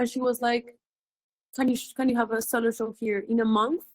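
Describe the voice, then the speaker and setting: A high-pitched woman with a Colombian accent speaks with fairly even intonation in a dry, close sound with no echo. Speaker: visual artist. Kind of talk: interview. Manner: halting.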